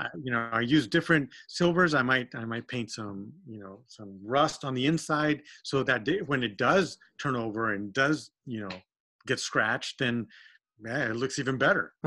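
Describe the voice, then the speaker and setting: A man with an American accent and an ordinary speaking voice talks at a moderate pace and medium pitch, with ordinary pitch variation and big swings in loudness. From Texas. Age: 50s. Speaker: RC hobbyist and custom painter. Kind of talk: casual chat. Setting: remote call.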